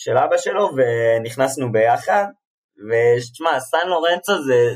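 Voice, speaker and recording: A man speaks in a plain, everyday voice at a fairly high pitch. His pace is fairly slow, and his loudness stays very even. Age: 20s. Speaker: football fan, podcast guest. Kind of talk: casual chat.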